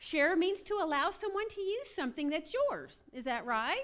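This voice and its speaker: A woman with a Southern US accent speaks with very wide pitch swings. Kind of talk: humorous talk at a women's retreat. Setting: stage with audience. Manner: animated.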